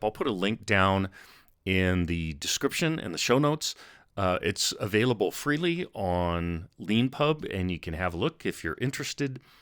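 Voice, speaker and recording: At a moderate pace, a man with a plain, everyday voice and fairly low pitch uses lively intonation on a very clean recording with a silent background. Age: 60s. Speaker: miniature painting youtuber. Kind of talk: casual talk to camera. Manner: conversational with fillers.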